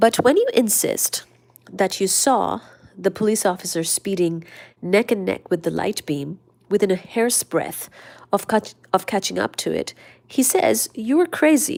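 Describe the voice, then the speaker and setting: A woman's soothing, calm tone at a medium pitch, with vocal fry, lively intonation and a fairly slow pace, on a very clean recording with a silent background. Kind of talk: casual study-along talk about physics, reading from books.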